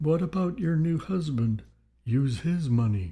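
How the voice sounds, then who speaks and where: Here a man uses a put-on character voice. He talks fairly slowly at a fairly high pitch. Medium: read story.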